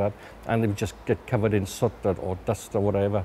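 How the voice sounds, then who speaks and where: A man's very fast, fairly low-pitched speech in a South Wales accent. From Wales, Swansea. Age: 50s. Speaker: local resident recalling industrial history. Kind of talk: documentary interview, reminiscence. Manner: hesitant, with many repetitions and fillers.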